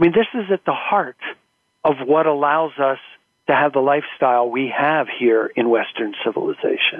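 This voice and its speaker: In an American accent, a man speaks with an ordinary speaking voice at a fairly high pitch and moderate pace. His intonation is lively and his loudness stays very even. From US, Philadelphia and California. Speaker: professional association board chair. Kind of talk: interview.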